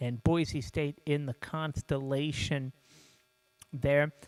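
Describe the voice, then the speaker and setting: Music plays in the background as a man with a fairly high pitch talks at a fairly slow pace, the sound dry and close with no echo. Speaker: sports show host. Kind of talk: sports commentary show. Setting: studio. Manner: casual, hesitant with fillers.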